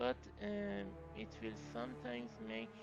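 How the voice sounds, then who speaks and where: At a very slow pace, a man speaks with a non-native accent. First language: not English. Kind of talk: tech tutorial voiceover.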